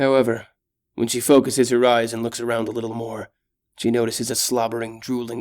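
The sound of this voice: An unforced reading voice against a quiet background.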